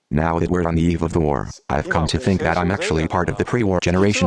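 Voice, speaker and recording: A man speaks in a very deep, low voice with lively intonation and very even loudness. He talks at a very fast pace with hardly any pauses, and the room echo is audible. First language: Japanese. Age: 70s. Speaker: nuclear engineer and lecturer. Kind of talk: lecture.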